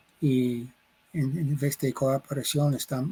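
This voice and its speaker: Very slowly, a man speaks in a fairly high, somewhat breathy voice with a dark, mellow tone. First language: English (speaking Spanish). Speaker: sociologist and professor. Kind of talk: interview. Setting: recording in Mexico City. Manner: halting, searching for words.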